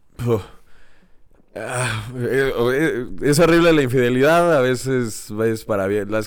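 With a Mexican accent, a man speaks at a medium pitch with lively intonation in a very clean recording with a silent background. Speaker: podcast co-host. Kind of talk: casual chat.

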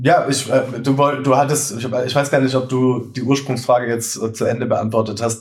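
Over noticeable background noise, a man speaks at a moderate pace with hardly any pauses. His medium-pitched delivery has monotone, flat intonation. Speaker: bread baking content creator and cookbook author. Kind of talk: casual chat. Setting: studio couch, recording together. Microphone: poor sound quality in first episode.

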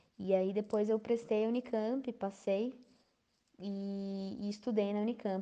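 Monotone and flat, a woman's dark, mellow voice at medium pitch moves at a fairly slow pace. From Brazil, São Paulo state interior (Campinas/Valinhos). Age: 20s. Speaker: pianist and music teacher. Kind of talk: interview.

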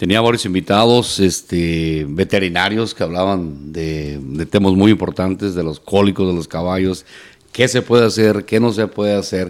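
This man has a very deep, low pitch with ordinary variation. The recording is very clean, the background silent. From Mexico, La Piedad, Michoacán. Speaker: charreada announcer and radio broadcaster. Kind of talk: casual interview chat.

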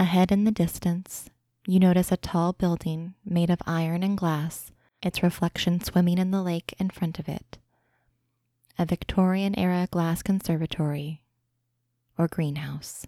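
A woman's fairly low, monotone voice with flat intonation and a dark, mellow tone, dry and close with no echo, on a very clean recording with a silent background. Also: moderate pace. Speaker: guided imagery narrator. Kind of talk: guided meditation. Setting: podcast recording.

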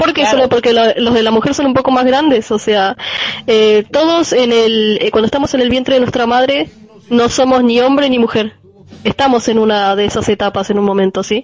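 A woman speaks at a fairly quick pace and a high pitch with ordinary pitch variation and very even loudness, amid noticeable background noise. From Argentina, Buenos Aires. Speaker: radio show guest. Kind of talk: casual panel discussion. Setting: remote connection with own microphone.

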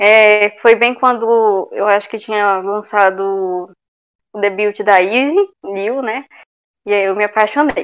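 Very slow, fairly even speech from a woman with a fairly high pitch. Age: 20s. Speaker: podcast co-host. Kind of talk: casual chat.

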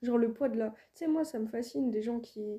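A woman's fairly high voice, dark and mellow in tone and somewhat breathy. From France, Île-de-France. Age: 20s. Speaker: rapper. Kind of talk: casual interview chat.

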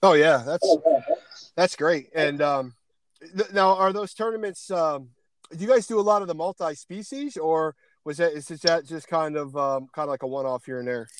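A man with an American accent uses a normal speaking voice at a fairly high pitch and a moderate pace. His pitch variation is ordinary, with big swings in loudness. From Pennsylvania. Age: 40s. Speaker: podcast host. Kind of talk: casual interview chat. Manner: casual, chatty.

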